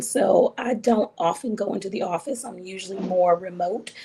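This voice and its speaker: Over noticeable background noise, a woman speaks at medium pitch and a moderate pace, with ordinary pitch variation. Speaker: psychiatrist. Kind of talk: interview.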